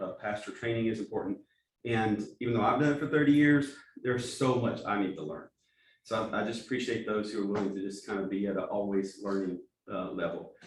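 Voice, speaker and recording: Speaking at a fairly quick pace with an American accent, a man uses a medium pitch and ordinary pitch variation. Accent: East Texas accent with some Alabama. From East Texas. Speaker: pastor and church planting director. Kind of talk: training talk. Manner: halting, with repeated words.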